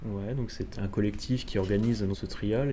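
Some room echo surrounds a man whose fairly low, dark and mellow voice is somewhat breathy. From Alsace, France. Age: 30s. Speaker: motion designer. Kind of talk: interview.

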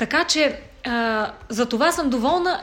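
The voice is raised and projected, with lively intonation. It moves at a very slow pace. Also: woman. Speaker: folk singer. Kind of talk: casual chat.

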